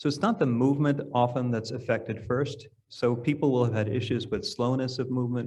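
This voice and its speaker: A somewhat breathy man with an American accent talks at a fairly quick pace and medium pitch, with audible room echo. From New York. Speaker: neurologist. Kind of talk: lecture. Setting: stage with audience. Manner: fast.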